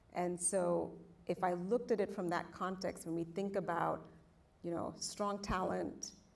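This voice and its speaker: Over audible room echo, a woman with a fairly low pitch talks at a moderate pace in a monotone, flat intonation. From outside the US. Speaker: panelist, industry leader. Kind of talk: panel discussion. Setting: stage with audience.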